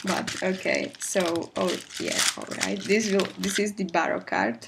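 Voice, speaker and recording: A woman speaks quietly at a fairly slow pace amid noticeable background noise. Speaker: K-pop fan vlogger. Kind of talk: casual unboxing talk to camera. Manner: low-key, quiet.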